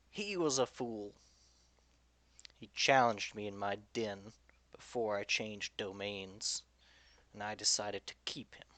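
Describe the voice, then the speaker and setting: A man's put-on character voice, fairly low in pitch, at a moderate pace with long, frequent pauses. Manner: amused, chuckling.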